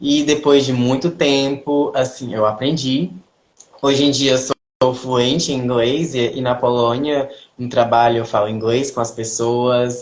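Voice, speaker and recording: A man with a medium-pitched voice talks fairly slowly, his intonation fairly even. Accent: Cearense. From Brazil, Ceará. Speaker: ballet dancer. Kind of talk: interview. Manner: halting, with self-corrections.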